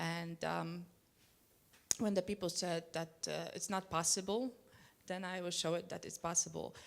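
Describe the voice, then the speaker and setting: With a Polish accent, a woman talks at a moderate pace in a fairly low pitch, keeping her intonation fairly even and leaving long, frequent pauses. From Poland. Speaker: Olympic speed skater. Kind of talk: panel discussion. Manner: halting.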